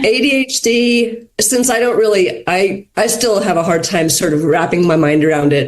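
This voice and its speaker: At a moderate pace, a woman with an American accent speaks at a medium pitch with very wide pitch swings, against noticeable background noise. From USA. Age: 60s. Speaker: podcast guest. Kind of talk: casual chat.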